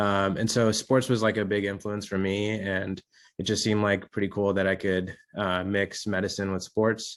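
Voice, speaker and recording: The voice keeps a monotone, flat intonation at a fairly quick pace. The recording is very clean, with a silent background. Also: man. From India, moved to US at eleven. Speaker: orthopedic surgeon. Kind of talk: interview Q&A. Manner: casual, many fillers.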